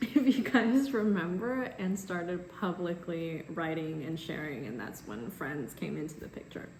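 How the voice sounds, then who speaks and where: Speaking at a moderate pace with hardly any pauses, a woman uses a fairly low pitch and very wide pitch swings. Audible room echo and noticeable background noise are present. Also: big swings in loudness. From US, immigrated from China at about six. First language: Chinese. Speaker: baker and cookbook author. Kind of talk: casual vlog talk to camera.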